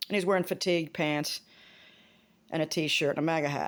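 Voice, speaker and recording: A woman with an American accent and a fairly low pitch, in a very clean recording with a silent background. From Maryland, US. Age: 50s. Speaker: vlogger. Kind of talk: casual vlog monologue. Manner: animated.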